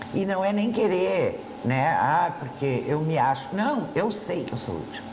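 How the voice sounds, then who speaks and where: Amid noticeable background noise and audible room echo, a woman with a fairly low voice speaks at a fairly slow pace through very wide pitch swings. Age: 60s. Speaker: TV talk show co-host and school counselor. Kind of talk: casual talk show chat. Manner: hesitant, with fillers.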